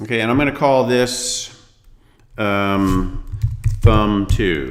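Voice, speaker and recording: Audible room echo surrounds a man with a fairly low pitch. He speaks at a very slow pace with ordinary pitch variation. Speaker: design instructor. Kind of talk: tutorial. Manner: casual, many fillers.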